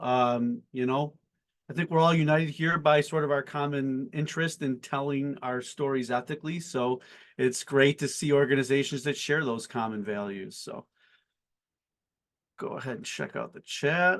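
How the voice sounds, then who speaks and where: A plain, everyday voice from a man, fairly high in pitch with ordinary pitch variation and an American accent, over a quiet background. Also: moderate pace. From Buffalo, New York, US. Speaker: company CEO and founder, webinar host. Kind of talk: webinar panel introduction. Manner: casual with frequent fillers.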